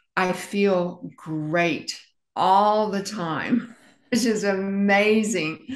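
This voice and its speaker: A woman talks at a very slow pace. The background is quiet, with audible room echo. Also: medium pitch for a woman, ordinary pitch variation. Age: 70s. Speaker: interviewee sharing health journey; interview guest. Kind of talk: interview testimony. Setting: interview. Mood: upbeat, smiling. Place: home room. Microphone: video call.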